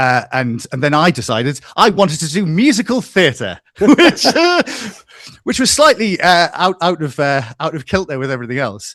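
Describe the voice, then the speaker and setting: The speaker has a Geordie accent and a moderate pace. Pitch swings very widely. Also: man, fairly high pitch for a man. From northeast England, Newcastle. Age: 40s. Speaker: music analyst and YouTuber. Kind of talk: casual interview chat. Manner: halting, many repetitions.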